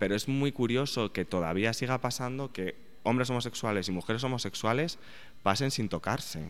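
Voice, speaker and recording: With ordinary pitch variation and a moderate pace, a man talks in a plain, everyday voice. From Spain, Aragon. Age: 30s. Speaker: journalist and sociologist, author. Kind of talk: interview.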